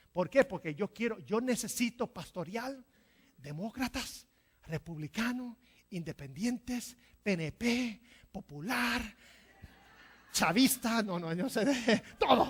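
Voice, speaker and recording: A woman's fairly high-pitched voice with vocal fry, very wide pitch swings, a very slow pace and long, frequent pauses. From New Jersey, Puerto Rican family. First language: English (speaking Spanish). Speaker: pastor. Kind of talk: sermon. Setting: church.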